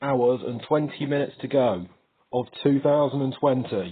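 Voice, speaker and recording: Upbeat in tone, this man talks at a fairly slow pace in a fairly high pitch. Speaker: vlogger. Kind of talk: casual vlog monologue.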